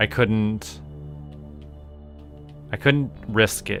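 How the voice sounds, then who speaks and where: Over music in the background, a man speaks fairly slowly in a relaxed tone. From Canada. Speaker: voice actor. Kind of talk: casual gameplay commentary.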